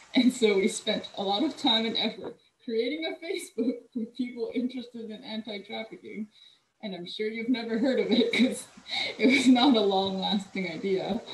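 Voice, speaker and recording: A woman with an American accent speaks at a moderate pace in a fairly high pitch, her loudness swinging widely while her pitch varies in an ordinary way, over noticeable background noise. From California (Cerritos, LA County); California. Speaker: urban planner; presenter. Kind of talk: presentation. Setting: video call. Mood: warm, reflective. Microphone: video call.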